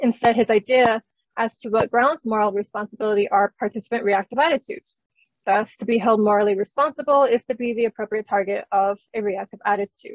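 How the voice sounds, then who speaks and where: The speaker moves at a fairly quick pace with fairly even intonation, and the sound is dry and close with no echo. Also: woman, fairly high pitch for a woman. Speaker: philosophy researcher. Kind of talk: academic conference talk. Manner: fast.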